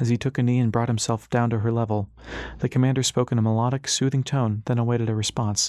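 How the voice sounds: In a natural reading voice, the words come with fairly even intonation.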